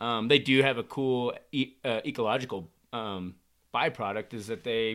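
At a moderate pace, a man speaks in an unremarkable speaking voice at medium pitch with ordinary pitch variation. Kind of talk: casual chat over beers.

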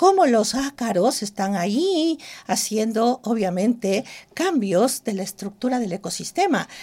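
Fairly high, somewhat breathy female voice with a dark, mellow tone, very wide pitch swings and a fairly slow pace, on a very clean recording over a silent background. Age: 60s. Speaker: cosmetic trichologist and entrepreneur. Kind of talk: interview. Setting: studio.

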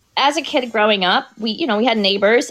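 On a very clean recording with a silent background, a woman talks at a fairly quick pace with a fairly high pitch and ordinary pitch variation. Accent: American. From Florida, Tampa Bay area. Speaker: entrepreneur and domestic violence survivor. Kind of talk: interview testimony.

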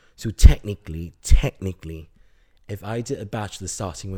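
Somewhat breathy and dark, mellow in tone, the voice comes through on a very clean recording with a silent background. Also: man. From Singapore. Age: 20s. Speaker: university student. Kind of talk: casual interview. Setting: at home.

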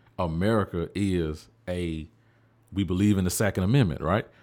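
A man speaks in a Southern US accent at a very deep, low pitch, with ordinary pitch variation and a moderate pace. The recording is very clean, with a silent background. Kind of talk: casual conversation.

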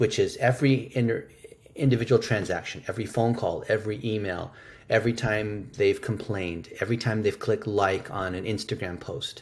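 Speaking with an American accent, a man uses a medium pitch, a somewhat breathy voice and fairly even intonation. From United States. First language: Chinese. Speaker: digital marketing expert. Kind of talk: interview. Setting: remote call.

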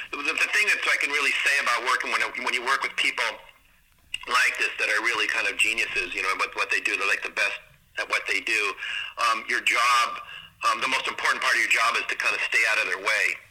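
Very fast speech from a man amid noticeable background noise. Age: 60s. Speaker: photographer and music video director. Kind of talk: casual interview. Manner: hesitant, many fillers.

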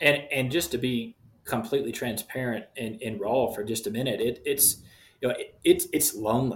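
A man with a Louisiana accent speaks in a somewhat breathy voice. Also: medium pitch for a man, ordinary pitch variation, moderate pace. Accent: Louisiana Southern US. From Shreveport, Louisiana, US South. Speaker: missionary and youth soccer coach. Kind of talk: interview.

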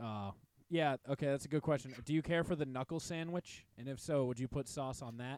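On a very clean, dry, close recording with a silent background and no echo, a man with a normal speaking voice talks at a fairly quick pace, his pitch fairly high and varying in an ordinary way. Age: 20s. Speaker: podcast co-host. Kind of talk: casual chat. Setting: home basement studio.

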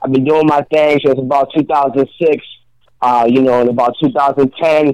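An unremarkable speaking voice from a man with an American accent, fairly high in pitch with fairly even intonation. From Rhode Island, US. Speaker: rapper. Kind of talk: casual radio interview.

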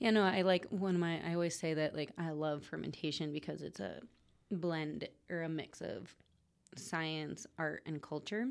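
A woman with an ordinary speaking voice, fairly low pitch, moderate pace, ordinary pitch variation and an American accent. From Connecticut, near the Sound. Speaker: fermented foods producer. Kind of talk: casual chat.

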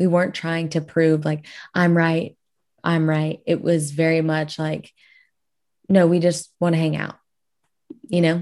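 A woman with a South Louisiana accent speaks at a fairly low pitch and a fairly slow pace, her intonation monotone and flat. Long, frequent pauses break up her speech against a quiet background. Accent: South Louisiana Southern US. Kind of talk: casual interview.

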